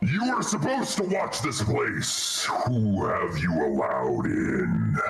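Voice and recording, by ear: Clear music plays behind a booming, gravelly put-on character voice that moves at a slow pace with big pitch swings and vocal fry. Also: man, low pitch for a man.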